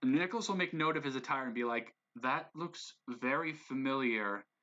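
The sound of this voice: The reading voice is unforced, and the background is quiet.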